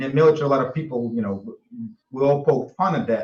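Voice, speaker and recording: Talking at a very fast pace, a man speaks with a Russian accent. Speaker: military veteran. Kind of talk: panel discussion. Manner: halting.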